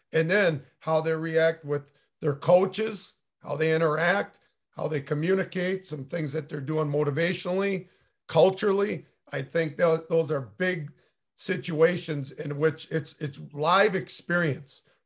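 An unremarkable speaking voice moves at a fairly slow pace with fairly even intonation over a quiet background. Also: man, fairly high pitch for a man. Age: 50s. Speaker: high school coach and podcast co-host. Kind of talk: casual chat.

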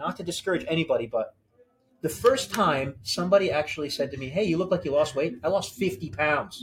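With an American accent and a normal speaking voice, a man with a fairly high pitch talks at a fairly quick pace. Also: lively intonation. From New Jersey. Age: 40s. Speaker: banker. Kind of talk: casual interview. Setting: gym.

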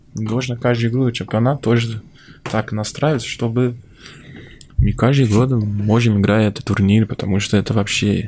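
With a dark, mellow tone, a man speaks in a medium pitch at a moderate pace and with fairly even intonation. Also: long, frequent pauses, very even loudness. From Brazil, Minas Gerais. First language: Portuguese (speaking Russian). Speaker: professional football goalkeeper. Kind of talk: casual interview chat. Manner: halting.

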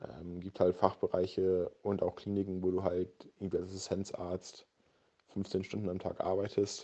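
A man speaks with a very deep, low pitch and a dark, mellow tone. His intonation is monotone and flat, at a moderate pace. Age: 20s. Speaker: medical student. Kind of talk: casual interview. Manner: hesitant, many fillers.

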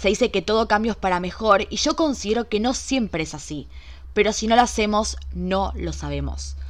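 This woman speaks with a Rioplatense accent. Her pace is moderate. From Argentina, Buenos Aires. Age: 20s. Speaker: podcast host. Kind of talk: solo podcast monologue. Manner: animated.

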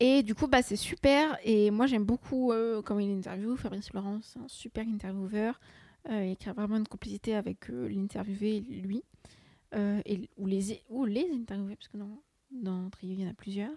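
Somewhat breathy and dark, mellow in tone, a woman speaks at a moderate pace and medium pitch with ordinary pitch variation and big swings in loudness, in a dry, close sound with no echo. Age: 20s. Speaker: student podcaster. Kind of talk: casual solo chat. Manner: hesitant, many fillers.

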